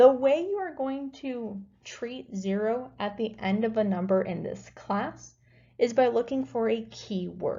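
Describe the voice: A woman's fairly slow, fairly high voice with lively intonation and a dark, mellow tone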